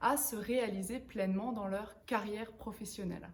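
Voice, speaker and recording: Somewhat breathy, a woman speaks at a fairly slow pace, with audible echo from the room. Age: 30s. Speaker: author and professional coach. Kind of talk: interview-style book presentation. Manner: hesitant, frequent filler words.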